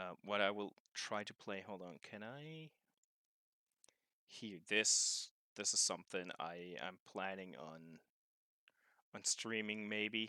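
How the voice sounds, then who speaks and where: In a German accent, this voice has a bright, sharp tone, a very slow pace, long and frequent pauses, and big swings in loudness, with a dry, close sound and no echo. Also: man. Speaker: video game streamer. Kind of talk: casual chat. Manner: halting.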